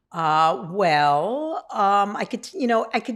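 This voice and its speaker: Speaking very slowly with a New York accent, this voice has lively intonation on a very clean recording with a silent background. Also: woman. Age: 60s. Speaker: person in long-term addiction recovery. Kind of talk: testimony.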